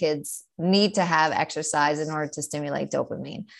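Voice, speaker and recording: A woman speaks with a New York accent at a moderate pace. Her pitch variation is ordinary, over a quiet background. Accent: New York American. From New York, US. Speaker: ADHD coach and author, mother, teacher. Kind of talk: interview, casual chat.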